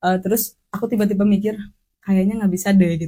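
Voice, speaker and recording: At a fairly quick pace, a woman with a medium-pitched, dark, mellow tone speaks in a somewhat breathy voice. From West Java, Sundanese. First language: Sundanese (speaking Indonesian). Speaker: podcast guest. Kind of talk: casual chat.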